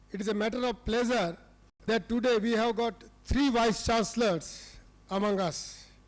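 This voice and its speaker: Someone talks at a moderate pace over crowd noise in the background. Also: man. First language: Hindi. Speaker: university president. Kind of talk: formal speech. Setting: conference stage with audience.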